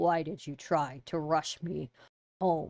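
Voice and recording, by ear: This put-on character voice sounds raspy, sitting at a middle pitch. It moves at a fairly slow pace.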